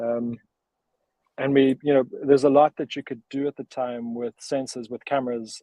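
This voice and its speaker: A man with a South African accent speaks at a medium pitch in a dark, mellow tone. His intonation is monotone and flat, and the sound is dry and close with no echo. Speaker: startup cofounder. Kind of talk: interview. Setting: live video stream.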